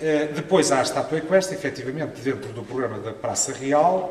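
Audible room echo surrounds the speech, which moves at a moderate pace with ordinary pitch variation. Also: man. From Portugal. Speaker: art historian, professor; professor. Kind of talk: conference talk. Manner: hesitant, with fillers. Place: hall. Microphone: podium.

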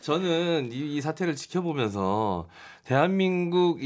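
With a quiet background behind him, a man talks in very wide pitch swings. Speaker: MC and media personality. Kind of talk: radio panel discussion. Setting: radio studio. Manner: animated. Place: studio.

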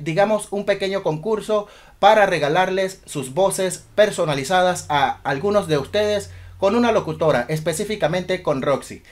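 At a fairly slow pace, a man talks in a high pitch with ordinary pitch variation against a quiet background. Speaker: DJ. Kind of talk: casual talk to camera. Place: home room.

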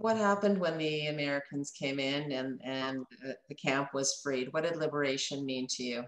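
A woman's very deep, low voice at a moderate pace with ordinary pitch variation, audible room echo and a quiet background. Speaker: interviewer. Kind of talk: interview. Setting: video call. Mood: gentle, solemn. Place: office. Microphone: webcam.

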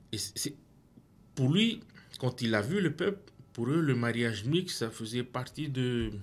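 Speaking very slowly with long, frequent pauses, a man uses lively intonation at a medium pitch. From French Polynesia. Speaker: pastor; Bible study discussion host. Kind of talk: Bible study discussion. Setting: studio. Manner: halting. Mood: calm, reflective. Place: studio. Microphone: studio mic.

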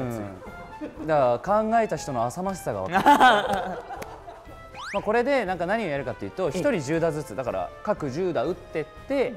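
Over clear background music, a man speaks at a fairly quick pace in a high pitch, with very wide pitch swings and long, frequent pauses. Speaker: voice actor. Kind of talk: casual variety show talk. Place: gym.

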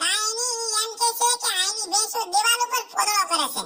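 This is a cartoonish character voice at an extremely high pitch, squeaky in sound. It moves at a moderate pace.

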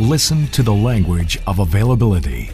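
A man at a fairly low pitch and moderate pace, with very wide pitch swings, over clear music in the background. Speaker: voice actor. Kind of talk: corporate narration. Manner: sincere, commanding, professional. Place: studio.

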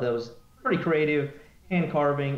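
A man with an American accent, with audible room echo around his voice. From Ohio, US Midwest. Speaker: drag racing team member; guest. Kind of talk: casual interview. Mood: relaxed, candid. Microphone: video call.

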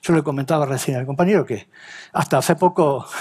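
A man talks at a fairly quick pace with ordinary pitch variation. His voice is somewhat breathy, and the background is quiet. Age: 50s. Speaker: BIM and CAD consultant; presenter. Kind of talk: talk to an audience. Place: stage. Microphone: headset.

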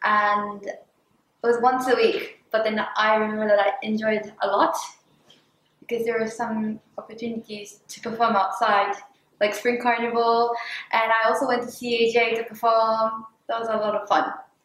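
Audible room echo surrounds a woman talking at a moderate pace. Her fairly high voice stays monotone and flat. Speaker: former student. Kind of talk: interview. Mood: warm, nostalgic, smiling. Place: classroom.

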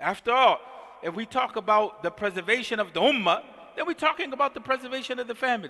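An American-accented man with an extremely high pitch, a raised, projected voice, lively intonation and a very fast pace, against a quiet background. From US, North Philadelphia. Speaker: imam. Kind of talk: sermon. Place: church. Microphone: headset.

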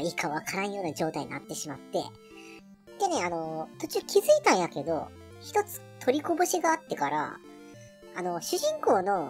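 The speaker has a middle pitch and a moderate pace. Music plays clearly in the background. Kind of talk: casual let's-play commentary. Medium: virtual streamer. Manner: chatty, relaxed, thinks aloud.

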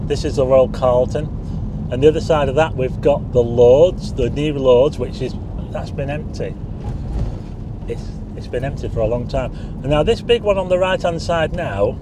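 Long, frequent pauses break up a man's moderately paced speech, which has ordinary pitch variation and a dry sound with no echo, against noticeable background noise. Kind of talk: casual driving commentary. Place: car. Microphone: phone near.

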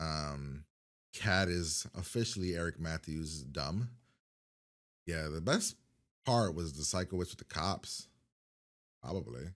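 Against a quiet background, a man speaks very slowly with long, frequent pauses at a very deep, low pitch and ordinary pitch variation. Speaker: reaction video host. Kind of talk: casual reaction commentary. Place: home room.

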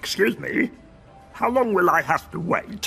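Faint music plays in the background as a cartoonish character voice talks at a moderate pace. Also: man. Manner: mumbling, fussy, self-satisfied.

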